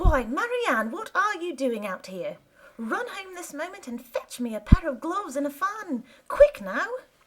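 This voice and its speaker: With very wide pitch swings, this put-on character voice proceeds at a moderate pace. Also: woman, extremely high pitch for a woman. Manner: angry.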